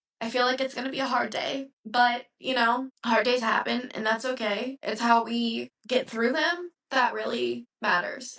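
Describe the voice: Using a raspy put-on character voice, a woman speaks high-pitched at a moderate pace with fairly even intonation and hardly any pauses.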